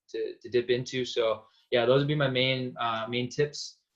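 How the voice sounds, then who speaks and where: The speaker is a man with a Canadian accent. He moves at a fairly quick pace. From Vancouver, Canada. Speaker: graduate student panelist. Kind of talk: panel discussion.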